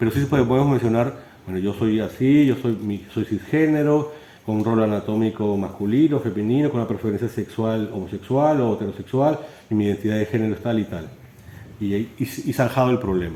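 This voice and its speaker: Here a man talks at a fairly quick pace. His pitch sits in the medium range and varies in an ordinary way. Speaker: philosophy lecturer. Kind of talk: lecture. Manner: fast, with stumbles and repetitions.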